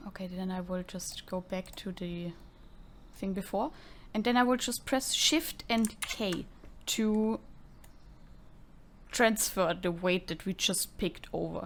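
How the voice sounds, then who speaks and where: Speaking with a non-native accent, a woman uses a medium pitch with ordinary variation at a fairly slow pace with long, frequent pauses. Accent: foreign accent, self-noted. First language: not English. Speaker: tutorial creator, gamer. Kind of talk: tutorial. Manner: lip smacking.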